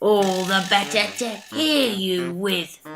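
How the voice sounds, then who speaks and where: A put-on character voice growls at a middle pitch. The pace is fairly slow. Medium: read story. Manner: sly, wheedling.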